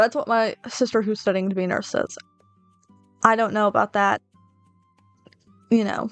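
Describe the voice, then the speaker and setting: With music in the background and a dry, close sound with no echo, a woman speaks at a moderate pace in a fairly high pitch, her intonation fairly even and her pauses long and frequent. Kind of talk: casual talk to camera. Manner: rambling, unscripted.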